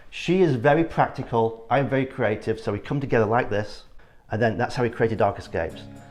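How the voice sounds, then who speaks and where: A man with an English accent, medium pitch and fairly quick pace against a quiet background. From northern England, Yorkshire (Ilkley). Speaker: architect. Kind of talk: casual interview chat.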